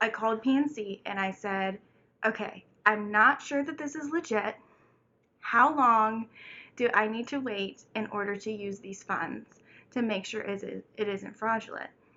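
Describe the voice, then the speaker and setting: A woman with a plain, everyday voice speaks at a fairly high pitch with ordinary pitch variation. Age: 20s. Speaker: single mother and college student. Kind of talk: casual storytime talk to camera.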